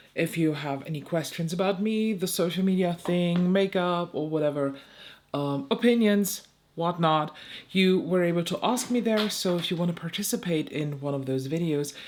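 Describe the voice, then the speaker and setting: A woman speaks with a German accent at a fairly low pitch. Her pitch varies in an ordinary way. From eastern Germany, Saxony. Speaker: beauty YouTuber. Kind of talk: casual chat. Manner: slow; hesitant.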